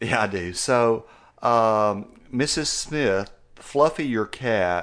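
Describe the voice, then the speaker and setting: Against a quiet background, a man with an American accent speaks at a very slow pace. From West Texas. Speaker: veterinarian, podcast co-host. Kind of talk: casual chat; reading aloud.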